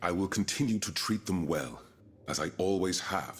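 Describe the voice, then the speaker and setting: Putting on a character voice, a man growls at a very deep, low pitch, speaking at a moderate pace with ordinary pitch variation. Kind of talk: formal period drama speech. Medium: video game. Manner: earnest, formal and dignified.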